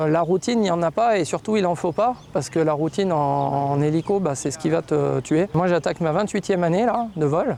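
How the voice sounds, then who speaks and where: At a fairly quick pace and with hardly any pauses, a man speaks in a high pitch with a dark, mellow tone and ordinary pitch variation. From France, Savoie. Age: 40s. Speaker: helicopter pilot. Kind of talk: documentary interview. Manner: hesitant, with fillers.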